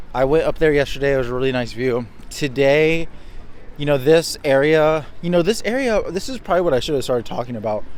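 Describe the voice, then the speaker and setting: A man talks at a very fast pace. His pitch rises and falls in an ordinary way. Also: fairly high pitch for a man. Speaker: travel vlogger. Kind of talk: casual vlog talk to camera.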